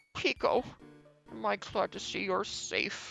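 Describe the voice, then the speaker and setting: Faint music plays in the background. Someone delivers a put-on character voice at a fairly slow pace. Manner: warm, relieved.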